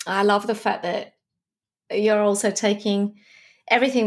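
This woman speaks at a medium pitch. She has an Australian accent. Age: 50s. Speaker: podcast host, leadership expert. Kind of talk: interview. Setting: video call.

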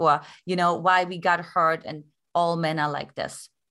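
A woman's fairly low voice in a German accent, bright and sharp in tone, with ordinary pitch variation. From East Germany. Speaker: love coach. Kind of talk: interview.

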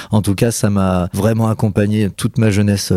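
A man with a dark, mellow tone speaks at a moderate pace in a fairly low pitch, his intonation monotone and flat. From central France. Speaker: comic book author. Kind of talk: casual chat. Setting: live broadcast.

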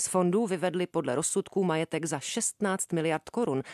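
A woman at a moderate pace, in a dry, close sound with no echo and a quiet background. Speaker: radio host. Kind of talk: scripted narration.

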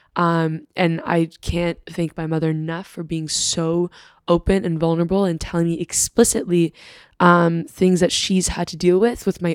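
Recorded very cleanly against a silent background, dry and close with no echo, a woman with an American accent and a plain, everyday voice talks at a moderate pace, with fairly low pitch and fairly even intonation. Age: 20s. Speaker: university student. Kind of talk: casual chat.

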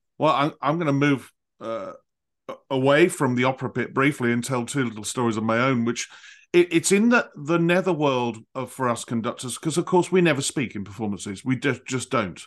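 This man has an unremarkable speaking voice at a medium pitch. He moves at a fairly quick pace with ordinary pitch variation. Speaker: podcast host and conductor. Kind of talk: interview conversation. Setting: remote call.

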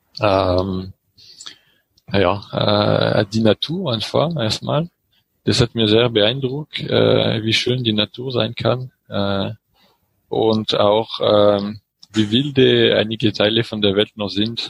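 Very slowly, a man with a French accent speaks at a fairly low pitch with ordinary pitch variation and long, frequent pauses. The sound is dry and close, with no echo. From France, French Alps near Grenoble. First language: French (speaking German). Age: 30s. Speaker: engineer and cycling traveler. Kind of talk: interview. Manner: halting, many fillers.

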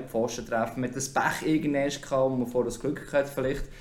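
A man with a Swiss accent speaks at a fairly quick pace in a medium pitch. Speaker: hockey commentator. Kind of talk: podcast interview.

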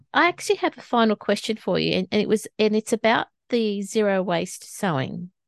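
At a fairly high pitch and a moderate pace, a woman speaks with lively intonation and hardly any pauses over a quiet background. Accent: Australian. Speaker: podcast host. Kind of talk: interview.

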